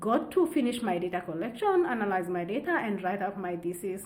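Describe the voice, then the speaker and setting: A woman with a Kenyan accent speaks at a medium pitch. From Central Kenya. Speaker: wildlife researcher, PhD candidate. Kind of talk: interview answer.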